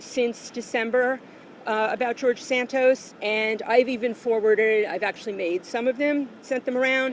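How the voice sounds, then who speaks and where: A woman with an American accent speaks at a fairly high pitch and a fairly slow pace. Her intonation is fairly even, and background noise is noticeable. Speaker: activist speaking at a rally. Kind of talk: prepared speech.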